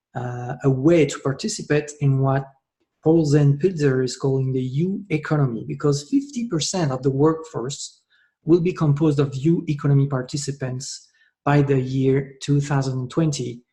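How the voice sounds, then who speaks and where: A somewhat breathy man with a French accent speaks at a fairly high pitch in a dark, mellow tone with fairly even intonation. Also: moderate pace. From France. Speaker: network marketer. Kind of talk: sales pitch. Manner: hesitant, many filler sounds.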